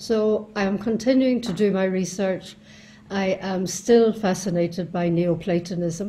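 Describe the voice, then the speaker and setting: A woman with an Irish accent speaks fairly slowly in a somewhat breathy, dark, mellow tone with fairly even intonation. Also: medium pitch for a woman. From Ireland. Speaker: philosophy scholar and author; interviewee. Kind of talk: recorded self-introduction talk. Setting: home study. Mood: calm, reflective. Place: home room. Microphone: video call.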